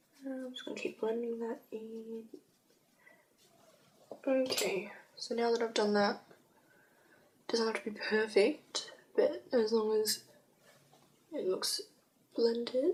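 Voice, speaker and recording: Amid noticeable background noise, a woman talks fairly slowly at a fairly high pitch, with ordinary pitch variation, big swings in loudness and long, frequent pauses. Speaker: makeup artist. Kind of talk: makeup tutorial talk to camera.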